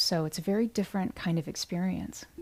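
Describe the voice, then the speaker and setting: A soft-spoken woman talks with a calm, dark, mellow tone at a moderate pace. The recording is very clean with a silent background. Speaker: meditation guide and musician. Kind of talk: guided meditation talk. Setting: livestream.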